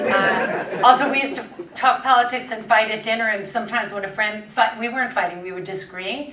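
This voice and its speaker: In a New York accent, a woman speaks at a fairly quick pace with ordinary pitch variation. Noticeable background noise and audible room echo surround her. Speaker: public health nurse and media strategist. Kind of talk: conference talk.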